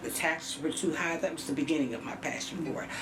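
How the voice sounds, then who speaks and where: A woman with an American accent at a fairly quick pace, pitch swinging very widely, amid noticeable background noise and audible room echo. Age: 70s. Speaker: county board candidate, retired school employee. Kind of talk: TV talk show interview.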